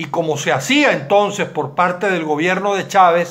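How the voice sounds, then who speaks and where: A man speaks against a quiet background. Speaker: political commentator. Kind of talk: commentary. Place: home room. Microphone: webcam.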